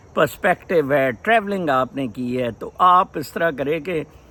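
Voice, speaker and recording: A man with very wide pitch swings. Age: 60s. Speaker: vlogger. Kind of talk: casual vlog monologue. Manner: code-switching Urdu-English.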